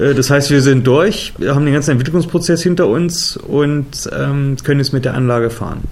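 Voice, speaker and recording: A man at a moderate pace with hardly any pauses, noticeable background noise and audible room echo. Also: ordinary pitch variation. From Germany, Harz region (Saxony-Anhalt). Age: 40s. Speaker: adventure park founder and managing director. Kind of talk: interview.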